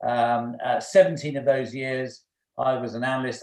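A man with an English accent speaks at a medium pitch in a monotone, flat delivery. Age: 50s. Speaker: former finance executive. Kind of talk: casual chat.

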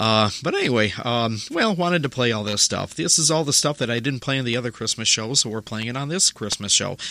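In a normal speaking voice, the words come at a fairly quick pace with lively intonation. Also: man. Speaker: radio host. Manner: casual, rambling, chatty with filler 'uh' and small jokes; warm, friendly sign-off tone, thanking listeners.

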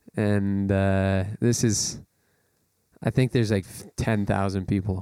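With a Canadian accent, a man speaks at a fairly slow pace in a fairly low, dark, mellow voice, his intonation monotone and flat but his loudness swinging widely, in a very clean recording with a silent background. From Calgary, Alberta, Canada. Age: 20s. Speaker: blues guitarist and singer-songwriter. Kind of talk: casual interview chat.

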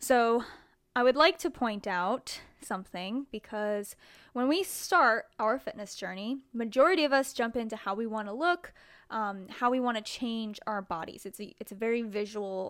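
A woman with a fairly high pitch speaks at a moderate pace with lively intonation in a very clean recording with a silent background. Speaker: fitness podcast host. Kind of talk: solo podcast monologue.

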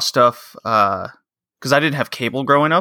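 On a very clean recording with a silent background, a man with an American accent speaks with fairly high pitch, ordinary pitch variation and a bright, sharp tone. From Texas. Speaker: wrestling podcaster. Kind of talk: casual chat.

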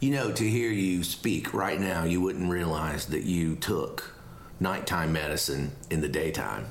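Lively intonation and very even loudness carry this fairly slow delivery over noticeable background noise. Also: man, very deep, low pitch for a man. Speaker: podcast co-host. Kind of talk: casual chat. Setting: Airbnb, recorded live.

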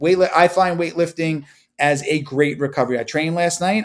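A man with an American accent speaks at a moderate pace in an ordinary speaking voice with ordinary pitch variation, on a very clean recording with a silent background. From Long Island, New York. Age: 40s. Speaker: jiu-jitsu practitioner and podcaster. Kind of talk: casual interview chat.

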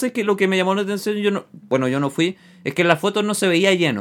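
A man with a Chilean accent speaks at a fairly quick pace in a high voice. His intonation is lively, and the recording is very clean with a silent background. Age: 30s. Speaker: radio show host. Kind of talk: casual chat. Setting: studio.

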